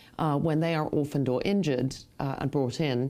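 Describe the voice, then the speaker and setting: In a very clean recording with a silent background, a woman with an English accent speaks at a moderate pace, her very deep, low voice dark and mellow in tone and her intonation fairly even. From England, northwest London. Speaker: actress and playwright. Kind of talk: interview. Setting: webcast.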